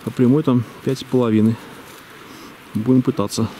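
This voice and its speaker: A man at a moderate pace, with light background noise and a dry sound with no echo. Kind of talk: casual vlog commentary. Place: open country. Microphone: phone near.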